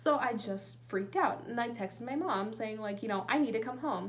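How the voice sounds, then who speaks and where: Speaking at a very fast pace, a woman has a fairly high pitch and ordinary pitch variation. Room echo is audible, and background noise is noticeable. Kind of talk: casual vlog, reading a checklist aloud. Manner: casual, hesitant with many fillers.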